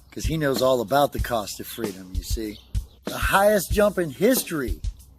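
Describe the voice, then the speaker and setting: Music plays in the background as a man with a fairly high pitch speaks at a moderate pace with lively intonation. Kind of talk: spoken word poetry delivery. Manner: rhythmic, rhyming, motivational.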